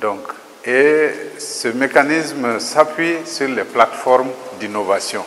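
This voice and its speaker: Over light background noise, a man speaks very slowly with long, frequent pauses, his pitch fairly high and ordinary in variation. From Mali. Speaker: agricultural research director. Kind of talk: interview statement. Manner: formal. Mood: calm, formal.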